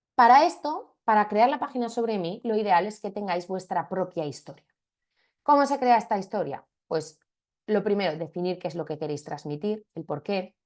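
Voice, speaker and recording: A woman at medium pitch with lively intonation against a quiet background. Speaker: marketing trainer. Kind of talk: webinar lecture. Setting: video call. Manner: fast.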